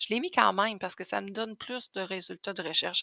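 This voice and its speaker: On a very clean, dry and close recording with a silent background and no echo, a woman with a Quebec accent speaks at a fairly quick pace in a bright, sharp tone at medium pitch. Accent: Québécois French. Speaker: Thermomix sales advisor. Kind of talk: tutorial. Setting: screen recording at computer. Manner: casual, hesitant with fillers.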